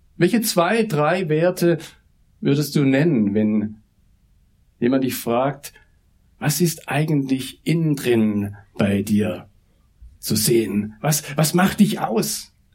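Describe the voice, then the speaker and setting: A man speaks at a very slow pace, his pitch swinging very widely. Long pauses come often. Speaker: pastor, mission director. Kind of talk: sermon. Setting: church service.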